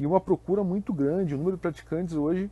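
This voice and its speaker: A man's voice against a quiet background. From Brazil, Curitiba. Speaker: university professor, sport pedagogy researcher. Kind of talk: interview.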